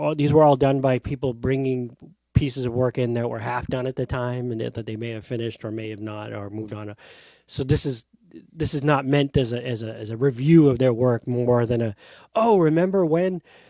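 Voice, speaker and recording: At a fairly quick pace, a man with a medium pitch and a dark, mellow tone speaks with ordinary pitch variation and big swings in loudness. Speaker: book channel host. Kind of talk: casual chat.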